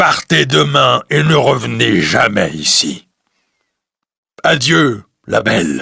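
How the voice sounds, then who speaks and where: Very slowly, a man puts on a character voice with a very deep, low pitch. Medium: read story. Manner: solemn, commanding.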